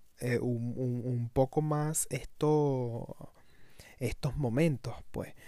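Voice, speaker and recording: This man has a medium-pitched voice with a dark, mellow tone and a Venezuelan accent. His intonation stays fairly even. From Venezuela, Caracas. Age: 30s. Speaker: podcaster. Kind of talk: casual monologue. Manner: halting, many fillers and repetitions.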